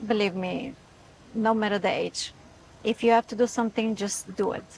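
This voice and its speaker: Her sound dry and close with no echo, a woman with a Bulgarian accent talks at a moderate pace and fairly high pitch in a monotone, flat intonation. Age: 40s. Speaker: etiquette influencer. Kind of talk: interview. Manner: halting.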